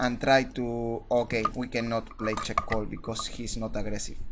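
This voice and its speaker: A man speaks with a non-native accent. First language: not English. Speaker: poker coach. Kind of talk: hand review commentary. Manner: halting, many fillers and repetitions.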